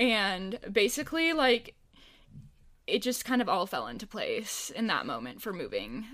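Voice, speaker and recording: The recording is very clean with a silent background, and on it a woman talks at a fairly slow pace. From Minnesota, Minneapolis suburb. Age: 20s. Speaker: entrepreneur, videographer. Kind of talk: casual chat. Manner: laughs a lot.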